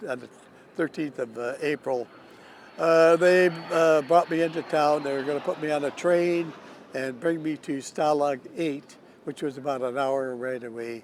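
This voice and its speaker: A man with a fairly high pitch speaks at a moderate pace. His intonation is fairly even, and there is noticeable background noise. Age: 80s+. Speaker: war veteran; retired fighter pilot. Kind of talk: interview answer. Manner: hesitant, with many pauses.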